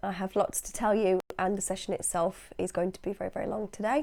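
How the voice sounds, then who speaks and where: In a British accent, a woman speaks at a medium pitch with a dark, mellow tone and fairly even intonation on a very clean recording with a silent background. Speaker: hypnosis practitioner and channel host. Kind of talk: casual vlog monologue.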